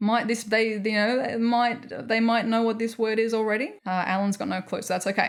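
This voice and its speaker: The speech comes in an Australian accent. It moves at a medium pace. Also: woman. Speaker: podcast co-host. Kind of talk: casual chat.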